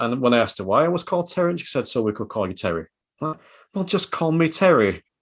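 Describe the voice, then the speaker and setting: Lively intonation marks this Yorkshire-accented speech, recorded against a quiet background. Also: man. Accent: broad Yorkshire. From Yorkshire, northern England. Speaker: podcast guest, driving instructor. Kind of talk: podcast interview. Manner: animated.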